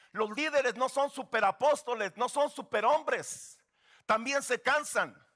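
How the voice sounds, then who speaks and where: A man's extremely high-pitched, raised, projected voice has a bright, sharp tone and ordinary pitch variation, heard in a dry, close sound with no echo. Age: 60s. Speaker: guest pastor. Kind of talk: sermon.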